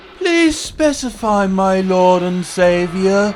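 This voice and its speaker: Over clear background noise, a man puts on a character voice, pitched high and delivered at a very slow pace. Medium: read story.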